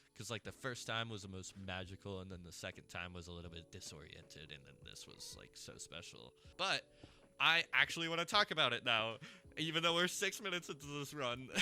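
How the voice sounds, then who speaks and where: A man speaks at a medium pitch with very wide pitch swings and big swings in loudness. His tone is bright and sharp, with vocal fry. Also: fairly quick pace. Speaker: vlogger. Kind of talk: casual chat while gaming. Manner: animated.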